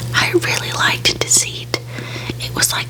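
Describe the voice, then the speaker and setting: A whispering woman amid noticeable background noise. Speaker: ASMR creator. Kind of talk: ASMR ramble Q and A. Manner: soft-spoken, quiet.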